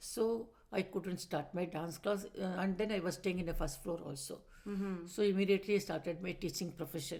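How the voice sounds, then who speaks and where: With a Tamil Indian accent, the speaker uses a dark, mellow tone, fairly even intonation and a moderate pace. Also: woman, medium pitch for a woman. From Madras, South India. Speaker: retired teacher, dancer and musician. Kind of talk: interview answer.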